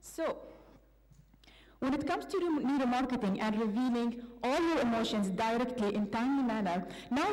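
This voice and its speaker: A woman speaks at a fairly quick pace with a high pitch. Room echo is audible. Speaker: PhD student presenter. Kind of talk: academic presentation. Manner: hesitant, many fillers.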